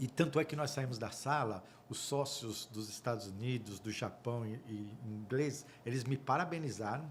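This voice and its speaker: A man's slightly breathy voice rises and falls in a lively way. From Brazil. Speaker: auditor and accounting firm partner. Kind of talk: podcast interview storytelling.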